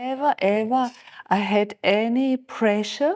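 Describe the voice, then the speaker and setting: The recording is very clean, with a silent background. A woman speaks in a dark, mellow tone with ordinary pitch variation. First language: German (Alemannic dialect). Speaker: spiritual teacher. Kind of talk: interview.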